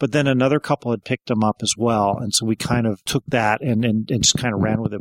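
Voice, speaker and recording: A man with a normal speaking voice talks at a fairly quick pace in a medium pitch with ordinary variation. The sound is dry and close, with no echo. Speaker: party organizer. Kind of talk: casual interview.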